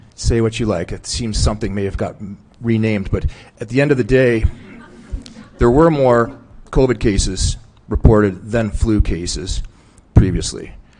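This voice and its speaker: Over music in the background, a man of medium pitch speaks with ordinary pitch variation and long, frequent pauses. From Newfoundland and Labrador, Canada. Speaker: witness at a public inquiry. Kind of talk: testimony. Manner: fast.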